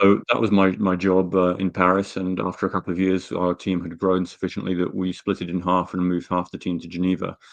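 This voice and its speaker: With a very deep, low pitch, a man rattles off words at a very fast pace with hardly any pauses, his intonation monotone and flat against a quiet background. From Britain. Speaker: energy analyst. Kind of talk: interview. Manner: halting, many fillers.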